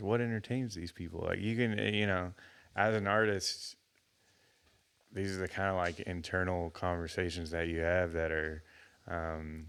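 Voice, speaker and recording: A man with a Texan accent, very deep low pitch, fairly even intonation and a moderate pace, on a very clean recording with a silent background. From Texas, Houston area. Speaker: musician. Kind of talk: casual interview chat. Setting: studio. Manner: halting, many fillers and restarts.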